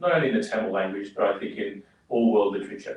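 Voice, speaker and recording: A man with a strong Australian accent speaks at a medium pitch with ordinary pitch variation. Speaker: politician. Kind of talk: speech at community event. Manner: halting, with fillers and repetitions.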